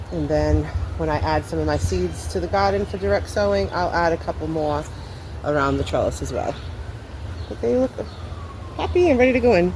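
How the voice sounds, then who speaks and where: The speaker goes at a fairly quick pace with long, frequent pauses, over noticeable background noise and audible room echo. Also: man. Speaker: gardening vlogger. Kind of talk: casual vlog narration. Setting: outdoors in garden.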